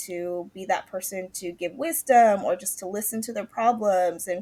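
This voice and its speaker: In a West Coast accent, a woman speaks with ordinary pitch variation. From California, Morgan Hill. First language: Mandarin. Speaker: health and life coach. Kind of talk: podcast interview.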